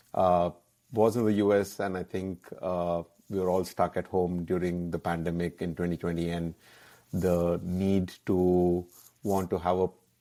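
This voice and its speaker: In a Keralan accent, a man speaks at a fairly slow pace with a very deep, low pitch and a dark, mellow tone. His intonation is monotone and flat, on a very clean recording with a silent background. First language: Malayalam. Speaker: app founder, entrepreneur. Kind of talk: interview. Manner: hesitant, many fillers.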